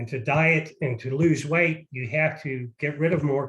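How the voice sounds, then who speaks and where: This is a plain, everyday voice. Its intonation is fairly even. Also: man. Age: 60s. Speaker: parent sharing money advice. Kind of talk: casual interview.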